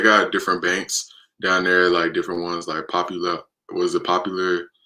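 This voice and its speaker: A man with an American accent, a very deep, low pitch and a bright, sharp tone. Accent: American, urban youth. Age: 20s. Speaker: livestreamer. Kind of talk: casual chat. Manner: halting.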